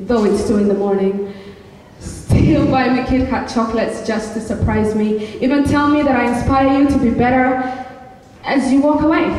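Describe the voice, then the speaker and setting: Amid audible room echo, a woman talks at a moderate pace in a fairly high pitch. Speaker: slam poet. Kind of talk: slam poetry performance. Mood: emotional, longing. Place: stage. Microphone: camera far.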